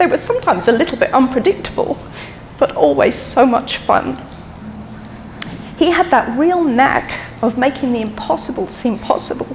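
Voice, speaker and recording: Amid noticeable background noise, a woman with a high voice and lively intonation speaks at a moderate pace with long, frequent pauses. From London and Dublin. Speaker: eulogist, daughter of the deceased. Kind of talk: memorial speech. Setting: memorial service with audience. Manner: hesitant, with frequent ums.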